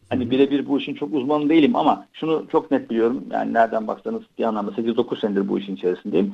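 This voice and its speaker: Very fast delivery with hardly any pauses. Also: man. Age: 40s. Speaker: tech company executive. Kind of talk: interview.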